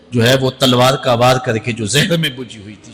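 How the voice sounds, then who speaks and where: A man's medium-pitched voice against noticeable background noise. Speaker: Islamic scholar giving a sermon. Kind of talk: religious sermon (bayan) delivered to a live audience. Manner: passionate, emphatic, oratorical.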